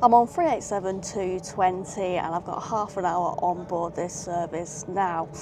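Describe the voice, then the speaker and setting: A woman's voice, dry with no echo, is heard over noticeable background noise. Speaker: travel vlogger. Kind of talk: casual vlog chat. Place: train. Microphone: phone near.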